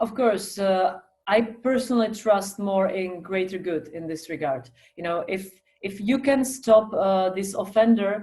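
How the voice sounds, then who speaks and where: A woman with a medium pitch speaks with big swings in loudness. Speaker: politician. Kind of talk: panel discussion.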